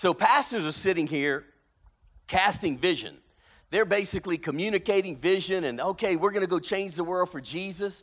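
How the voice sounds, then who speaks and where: Over a silent background in a very clean recording, a high-pitched man with a Louisiana accent speaks at a moderate pace with ordinary pitch variation. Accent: Cajun Southern US. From South Louisiana, Cajun. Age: 50s. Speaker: pastor. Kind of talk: sermon. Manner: animated.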